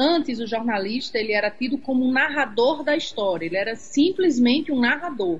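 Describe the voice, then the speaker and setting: Over music in the background, a woman with a high pitch speaks at a fairly quick pace with lively intonation and hardly any pauses. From Rio Grande do Norte, Seridó region. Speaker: journalist. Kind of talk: casual interview.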